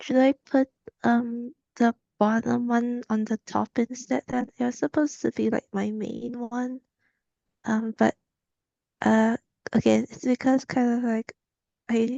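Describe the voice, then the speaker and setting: Quiet and dark, mellow in tone, a woman speaks at a fairly high pitch and fairly slow pace in a monotone, flat intonation with long, frequent pauses, the sound dry and close with no echo. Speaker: animator seeking portfolio review. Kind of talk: portfolio review on video call. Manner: halting.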